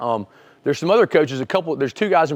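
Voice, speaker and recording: A man with an American accent at a very fast pace, with lively intonation. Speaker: wrestling coach. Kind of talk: webinar presentation. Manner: halting, many restarts.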